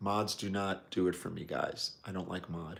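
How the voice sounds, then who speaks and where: A man speaks with a New York accent. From New York City, Brooklyn. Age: 60s. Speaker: watch enthusiast livestreamer. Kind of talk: live stream chat reading viewer comments. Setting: live stream. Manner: casual, conversational.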